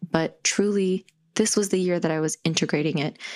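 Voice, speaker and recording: The woman's voice sits at a medium pitch, with ordinary pitch variation. She talks at a moderate pace. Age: 20s. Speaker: podcast host and purpose coach. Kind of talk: solo podcast monologue.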